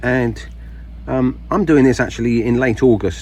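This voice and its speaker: Noticeable background noise sits behind a man speaking with a British accent. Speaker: gardening video maker. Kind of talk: casual tutorial. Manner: halting, many fillers.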